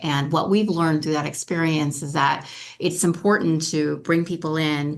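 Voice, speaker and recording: A woman speaks at a moderate pace with fairly even intonation. Her very deep, low voice carries vocal fry. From Africa (French-speaking). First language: French. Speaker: school board candidate. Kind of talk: candidate forum answer.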